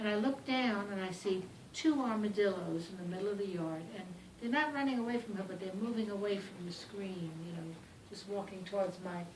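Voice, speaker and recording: Fairly quick speech from a woman, noticeable background noise behind her. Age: 80s+. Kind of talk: casual storytelling interview.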